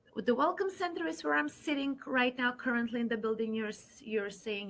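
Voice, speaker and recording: A woman with a non-native accent speaks at a fairly quick pace. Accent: foreign. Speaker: university admissions counselor. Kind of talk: online info session presentation.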